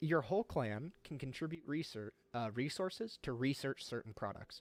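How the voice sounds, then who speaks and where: In a dry, close recording with no echo, a man speaks at a fairly quick pace with ordinary pitch variation. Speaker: gaming streamer. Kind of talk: live game tutorial stream. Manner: fast; animated.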